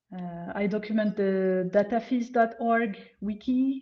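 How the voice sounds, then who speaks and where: Her voice is a woman's medium-pitched one, dark and mellow in tone and somewhat breathy. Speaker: data visualization designer and magazine creator. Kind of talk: presentation talk. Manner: halting.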